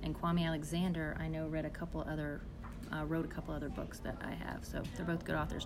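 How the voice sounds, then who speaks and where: With music in the background and audible room echo, a woman speaks at a very fast pace. Her fairly low voice has monotone, flat intonation. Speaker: teacher and podcast host. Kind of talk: casual interview with students. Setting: school library.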